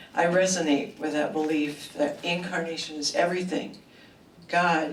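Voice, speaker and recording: Noticeable background noise and audible room echo surround a woman whose very deep, low pitch shows ordinary variation as she speaks at a moderate pace. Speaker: retired social worker. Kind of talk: personal introduction speech. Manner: hesitant.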